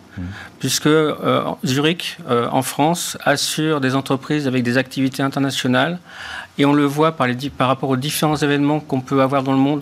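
Against noticeable background noise, a man with a fairly high pitch speaks at a moderate pace in a monotone, flat intonation, his loudness very even. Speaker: insurance executive. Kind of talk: interview answers. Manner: hesitant, filler words.

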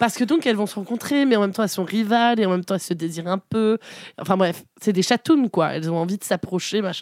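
Very rapid speech from a woman with a medium-pitched voice. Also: ordinary pitch variation, dry, close sound with no echo, very clean recording, silent background. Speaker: podcast host. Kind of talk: casual chat.

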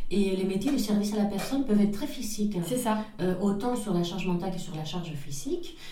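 A woman talks at a very fast pace with lively intonation. Noticeable background noise and audible room echo are present. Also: medium pitch for a woman. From northern Spain (Pamplona). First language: Spanish (speaking French). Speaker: entrepreneur. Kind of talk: interview. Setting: office.

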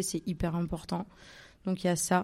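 A woman's dark, mellow voice with monotone, flat intonation, on a very clean recording with a silent background. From Marseille, southern France. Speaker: photographer. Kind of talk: live interview before audience. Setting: stage with live audience.

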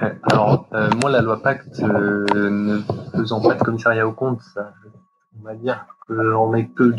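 With music in the background, a man at medium pitch speaks fairly slowly with fairly even intonation and long, frequent pauses. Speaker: chartered accountant. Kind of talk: interview. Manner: halting, many fillers.

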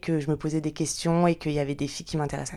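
The recording is very clean, set against a silent background. A woman does the talking. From France, Lyon area. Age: 20s. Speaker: podcast guest. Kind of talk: personal testimony interview. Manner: hesitant, many fillers.

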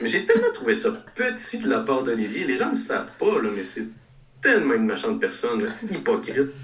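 The delivery is fairly quick. Noticeable background noise and audible room echo can be heard. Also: man. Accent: Quebec. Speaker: regional columnist. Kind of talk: casual chat.

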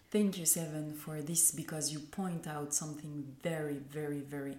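Audible room echo surrounds a woman with a very deep, low pitch and a dark, mellow tone. She speaks at a moderate pace in a monotone, flat intonation. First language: French. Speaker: podcast host, mindset coach. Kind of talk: interview.

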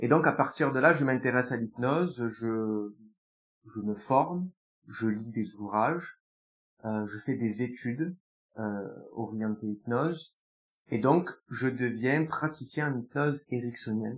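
A man's very slow delivery, broken by long, frequent pauses, with ordinary pitch variation. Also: medium pitch for a man. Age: 20s. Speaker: hypnotherapist. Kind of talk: interview.

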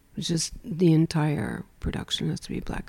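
An American accent comes through with vocal fry. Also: woman. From United States. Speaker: fashion film festival founder. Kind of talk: interview.

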